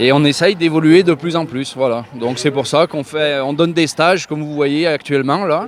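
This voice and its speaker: A man talks at a moderate pace with fairly high pitch and ordinary pitch variation, over noticeable background noise. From France, Loire (Saint-Étienne area). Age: 30s. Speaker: farmer and horse breeder. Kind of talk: interview. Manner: hesitant, many fillers.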